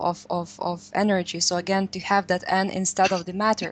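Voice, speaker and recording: A woman with a Lithuanian accent talks at a fairly quick pace. Her intonation is monotone and flat, with hardly any pauses. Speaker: radio co-host. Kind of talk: interview.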